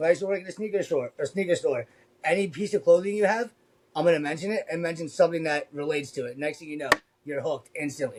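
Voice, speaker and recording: Talking at a very fast pace, a man with a high voice sounds animated. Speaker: convention art vendor, former retail salesman. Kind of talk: casual chat. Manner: loud; fast, animated.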